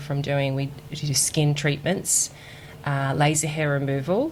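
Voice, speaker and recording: Speaking with an Australian accent, a woman has a very deep, low pitch. Her delivery is monotone and flat at a moderate pace. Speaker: recruitment executive at a clinic chain. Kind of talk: podcast interview.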